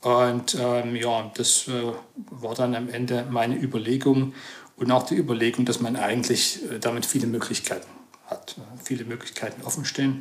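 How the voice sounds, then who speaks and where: With noticeable background noise behind him, a man speaks at a medium pitch and moderate pace in a monotone, flat intonation. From Saxony, Chemnitz region. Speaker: computer science professor. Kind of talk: interview. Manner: hesitant, many fillers.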